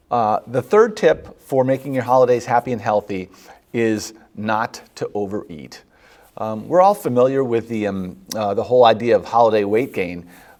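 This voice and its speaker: Delivered at a moderate pace, a man's medium-pitched voice shows ordinary pitch variation and is an ordinary speaking voice. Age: 50s. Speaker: physician hosting a health show. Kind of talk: health advice talk. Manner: conversational with many fillers.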